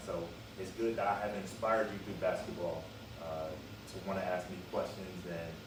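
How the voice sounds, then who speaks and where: Fairly low-pitched man with an American accent and ordinary pitch variation, amid noticeable background noise and audible room echo. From US West Coast, Los Angeles. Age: 30s. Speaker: professional basketball player. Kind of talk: interview.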